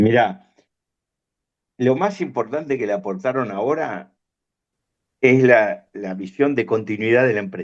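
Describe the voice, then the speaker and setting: In a Rioplatense accent, a man with a medium pitch talks at a fairly slow pace with lively intonation and long, frequent pauses. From Argentina, La Plata. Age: 60s. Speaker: veterinarian and farm business manager. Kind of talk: interview.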